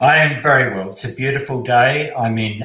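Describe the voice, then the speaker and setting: With audible room echo, a man speaks at a fairly slow pace in a bright, sharp tone with fairly even intonation. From Poland. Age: 60s. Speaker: speed reading teacher. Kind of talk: interview.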